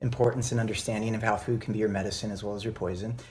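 A man speaks here. His voice is somewhat breathy. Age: 40s. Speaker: beverage company founder. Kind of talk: casual chat.

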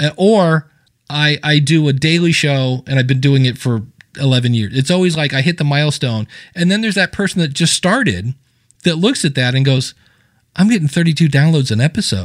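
In an ordinary speaking voice, a man talks at a fairly quick pace with a fairly high pitch and very even loudness. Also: lively intonation. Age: 50s. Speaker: podcasting coach. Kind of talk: interview.

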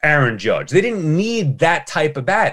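In an American accent, a man with a fairly high voice talks at a moderate pace, his pitch swinging very widely. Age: 40s. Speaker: sports radio host. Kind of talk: interview.

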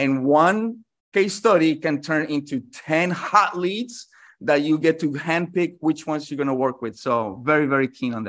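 This man has an unremarkable speaking voice with a fairly high pitch. He speaks at a moderate pace against a quiet background. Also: lively intonation. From New York City (born in Colombia). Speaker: marketing consultant. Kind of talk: interview.

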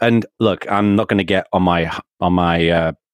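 Ordinary pitch variation in an English accent, on a very clean recording with a silent background and a dry, close sound with no echo. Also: man. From England. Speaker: author and community strategy consultant. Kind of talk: interview.

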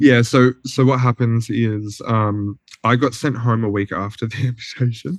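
An Australian man speaks with fairly even intonation. The sound is dry and close, without echo. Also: medium pitch for a man, moderate pace. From rural Australia, NSW-Victoria border. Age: 20s. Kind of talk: casual interview.

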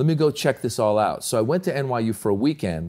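Recorded very cleanly against a silent background, a man speaks in an animated tone with lively intonation. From Iran, raised in US. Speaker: comedian and actor. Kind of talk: casual chat. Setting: studio.

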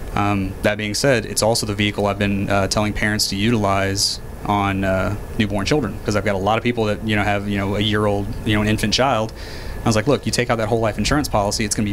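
Talking at a very fast pace in a flat monotone, a man with a fairly low pitch is heard amid audible room echo and noticeable background noise. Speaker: financial advisor. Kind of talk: casual interview.

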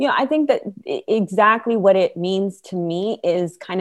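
This is an ordinary speaking voice at a moderate pace. The background is quiet. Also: woman. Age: 40s. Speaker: social entrepreneur and podcast host. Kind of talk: interview.

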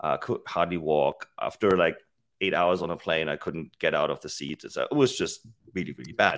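A man with a German accent is heard on a very clean recording with a silent background. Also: moderate pace. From Germany. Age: 40s. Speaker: fitness tech company CEO. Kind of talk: interview.

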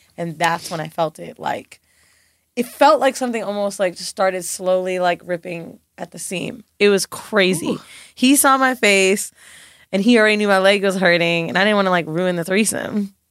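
Her loudness swings widely while her pitch stays medium with ordinary variation. The woman keeps a moderate pace on a very clean recording with a silent background. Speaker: podcast co-host. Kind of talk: casual chat. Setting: studio. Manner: animated.

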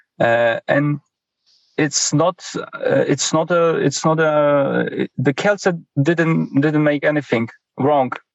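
A man with a Polish accent and ordinary pitch variation. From Poland. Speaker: sports journalist. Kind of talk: interview answers. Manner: halting, hesitant.

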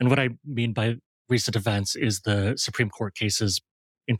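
A man with an American accent speaks at a moderate pace in a somewhat breathy voice with fairly even intonation, the sound dry and close with no echo on a very clean recording with a silent background. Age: 40s. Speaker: designer and design educator. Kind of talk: casual interview.

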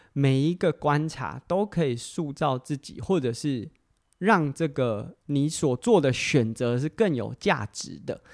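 Over a very clean recording with a silent background, a man with a fairly high pitch talks at a very slow pace with lively intonation. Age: 30s. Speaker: podcast host and amateur athlete. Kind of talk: solo casual talk. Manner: hesitant with frequent fillers.

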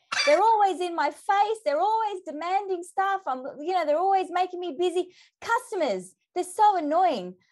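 A woman speaks with an Australian accent at an extremely high pitch. Her pace is moderate and her pitch variation ordinary. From Australia, Melbourne. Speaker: leadership development consultant and author. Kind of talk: podcast interview. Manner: animated.

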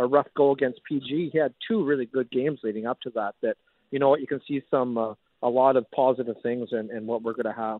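With a plain, everyday voice, a man speaks fairly quickly at a medium pitch and with fairly even intonation. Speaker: junior hockey general manager. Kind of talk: radio interview.

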